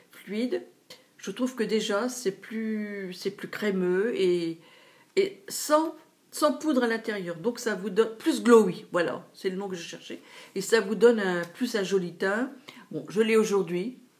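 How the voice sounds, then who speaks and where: A woman's medium-pitched voice at a very slow pace, with big swings in loudness and ordinary pitch variation. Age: 60s. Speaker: beauty vlogger. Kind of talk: product haul review. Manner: hesitant with fillers.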